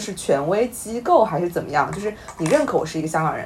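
A woman's voice over noticeable background noise. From Weihai, Shandong. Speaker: podcast co-host. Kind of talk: casual chat.

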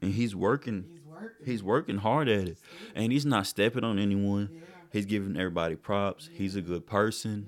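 Speaking at a fairly quick pace, a man with a fairly low pitch shows ordinary pitch variation and big swings in loudness. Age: 20s. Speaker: podcast co-host and student. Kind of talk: casual chat.

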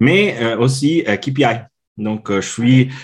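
Very slow speech from a man with ordinary pitch variation against a quiet background. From Italy. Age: 40s. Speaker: customer experience consultant. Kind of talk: interview. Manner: halting.

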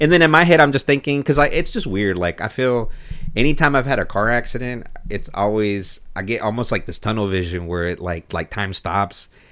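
This man has a normal speaking voice at a medium pitch. He talks at a fairly quick pace with lively intonation. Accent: American. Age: 30s. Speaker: guest. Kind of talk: casual chat.

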